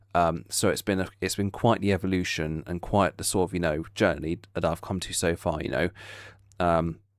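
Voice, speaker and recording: A man's very deep, low voice at a fairly quick pace with fairly even intonation, on a very clean recording with a silent background. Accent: English. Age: 20s. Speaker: YouTuber. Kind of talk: casual vlog update. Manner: halting, many fillers.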